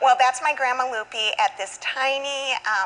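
Speaking in a Southwestern US accent, a woman talks at a fairly slow pace. Her high voice carries lively intonation. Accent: Southwestern American English. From Arizona, USA. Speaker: guest cook on a TV segment. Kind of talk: TV interview answer. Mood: warm, nostalgic. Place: studio.

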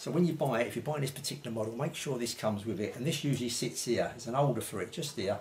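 Over light background noise, a man talks at a very fast pace with lively intonation. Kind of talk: tutorial. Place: home room.

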